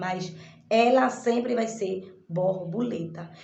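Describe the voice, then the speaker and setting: Amid audible room echo, a woman speaks at a very slow pace. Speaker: online course teacher. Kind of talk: recorded lesson summary. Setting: in her shop. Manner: halting.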